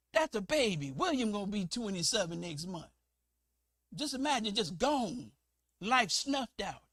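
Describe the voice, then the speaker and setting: Fairly slow but animated, a man speaks with very wide pitch swings. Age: 60s. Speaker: preacher. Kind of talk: sermon.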